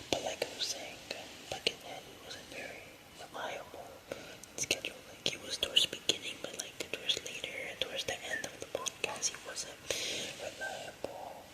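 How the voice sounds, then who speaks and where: A man whispers at a moderate pace, his loudness swinging widely. Background noise is noticeable. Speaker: podcast host. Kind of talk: casual monologue update. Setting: at home at night. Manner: soft-spoken; halting.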